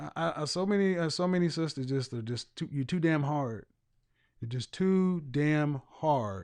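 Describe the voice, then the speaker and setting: A man speaks at a fairly slow pace in a plain, everyday voice, his pitch fairly high with ordinary variation. The background is quiet. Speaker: image consultant and life coach. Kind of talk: call-in talk show host. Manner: blunt, confrontational.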